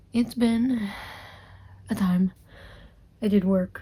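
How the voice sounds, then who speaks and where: A woman's voice with a dark, mellow tone, somewhat breathy, at a medium pitch and a very slow pace. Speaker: book vlogger. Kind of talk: casual vlog.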